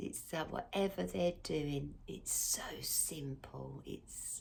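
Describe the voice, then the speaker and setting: Soft-spoken delivery at a very slow pace. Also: woman. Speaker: tarot and astrology reader. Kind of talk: casual tarot reading to camera.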